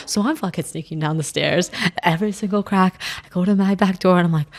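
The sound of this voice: Very fast speech from a woman over noticeable background noise. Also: medium pitch for a woman, ordinary pitch variation.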